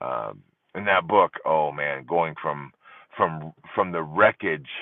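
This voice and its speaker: This is a man speaking very slowly. His pitch is very deep and low. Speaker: divorce support livestream host. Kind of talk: live stream chat with viewers. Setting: live stream. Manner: conversational with frequent fillers. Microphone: using a separate microphone, not the phone.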